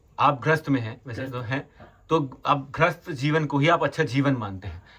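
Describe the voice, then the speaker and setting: At a moderate pace, a man speaks in an unremarkable speaking voice pitched fairly high. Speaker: podcast host for a religious NGO. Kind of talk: interview questions on location. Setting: outdoors.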